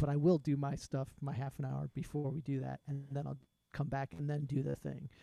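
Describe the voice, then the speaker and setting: A man speaks with a fairly high pitch and a somewhat breathy quality. His intonation is fairly even. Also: fairly quick pace. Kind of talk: casual podcast conversation. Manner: laughs often, opinionated.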